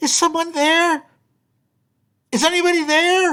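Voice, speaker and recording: A put-on, squeaky character voice at an extremely high pitch and a moderate pace. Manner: tentative, calling for help.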